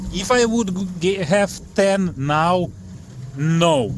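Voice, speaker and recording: In a non-native accent, a man talks with a fairly high pitch. Noticeable background noise and audible room echo fill the recording. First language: not English. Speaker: fishing and boat prop reviewer. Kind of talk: casual tutorial vlog. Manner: halting, many fillers.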